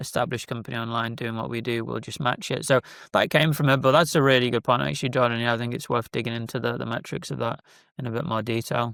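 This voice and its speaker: Speech in a British accent comes very fast, with ordinary pitch variation. The recording is very clean, with a silent background. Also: man, medium pitch for a man. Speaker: business founder. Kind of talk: casual interview chat.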